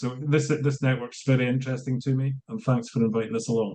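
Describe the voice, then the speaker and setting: A man with a Scottish accent and a dark, mellow tone. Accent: Scottish, consciously slowed. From Scotland. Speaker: business consultant. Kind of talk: online networking introduction. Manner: hesitant, many fillers.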